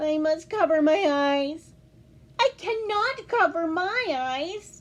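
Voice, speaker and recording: Putting on a squeaky character voice in an extremely high pitch, a woman speaks at a very slow pace with an anxious tone. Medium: read story. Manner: anxious, fretful.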